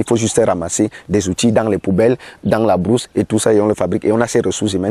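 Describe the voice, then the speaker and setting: At a very fast pace, the speech carries a dark, mellow tone. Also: man, dry, close sound with no echo. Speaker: community organization leader. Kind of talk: interview. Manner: animated.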